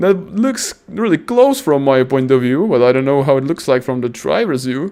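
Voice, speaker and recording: A man with a non-native accent speaks at a moderate pace in a fairly high voice, animated in tone with lively intonation. Noticeable background noise runs underneath. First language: not English. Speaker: sim racing commentator. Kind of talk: live commentary. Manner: halting.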